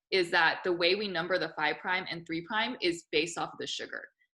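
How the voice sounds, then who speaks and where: On a very clean recording with a silent background, a woman speaks loudly and fairly quickly at medium pitch, with ordinary pitch variation and a bright, sharp tone. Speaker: biology teacher. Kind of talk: lecture. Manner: talkative, casual.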